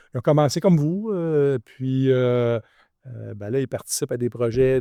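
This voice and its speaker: A man's dark, mellow tone at medium pitch, at a very slow pace. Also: dry, close sound with no echo. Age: 60s. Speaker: real estate developer. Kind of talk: podcast interview. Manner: halting.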